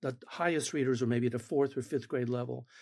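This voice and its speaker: A very clean recording with a silent background, carrying a man's voice of dark, mellow tone. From Argentina. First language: Spanish. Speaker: education researcher. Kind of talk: interview.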